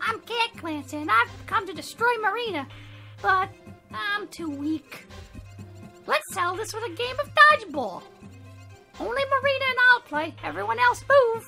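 An extremely high, put-on character voice with long, frequent pauses over clear music in the background. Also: moderate pace. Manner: silly, theatrical.

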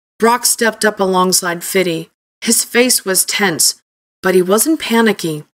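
Over a quiet background, ordinary pitch variation in an unforced reading voice

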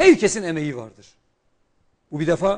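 The background stays quiet. A man's moderately paced speech has ordinary pitch variation. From Turkey, Şanlıurfa; Turkey. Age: 40s. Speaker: politician, former economics professor; politician guest. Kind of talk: TV political interview. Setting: TV studio, live broadcast. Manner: formal. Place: studio. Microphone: lapel.

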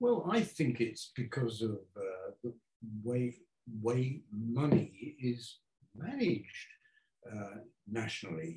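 In a quiet background with audible room echo, a man speaks at a very slow pace with long, frequent pauses. His dark, mellow voice is somewhat breathy and shows ordinary pitch variation. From England, Devonport (Plymouth); England. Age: 80s+. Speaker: architect. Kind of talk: public talk conversation. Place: home room. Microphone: camera far.

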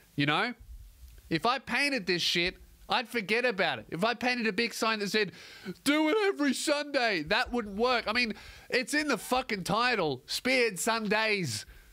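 A man projects a raised voice with a bright, sharp tone and lively intonation at a moderate pace. The background is quiet. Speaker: comedian podcast host. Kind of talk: comedic podcast monologue. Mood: mock-apologetic, joking. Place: studio. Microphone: studio mic.

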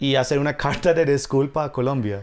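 This is a man speaking with an English accent. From US, New York. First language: English (speaking Spanish). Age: 30s. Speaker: comedian. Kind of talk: casual chat. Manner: halting. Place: home room.

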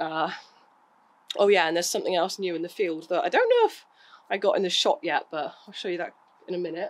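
A woman talks very fast in an English accent. She leaves long, frequent pauses. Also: very clean recording, silent background. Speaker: equestrian vlogger. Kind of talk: casual vlog. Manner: halting, hesitant.

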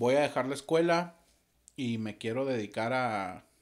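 A man's very slow speech with ordinary pitch variation, set against a quiet background. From Mexico, Torreón, Coahuila; Coahuila, Mexico. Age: 40s. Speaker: musician and audiovisual producer; podcast guest. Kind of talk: casual interview. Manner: calm. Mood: relaxed, reflective storytelling. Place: studio. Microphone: studio mic.

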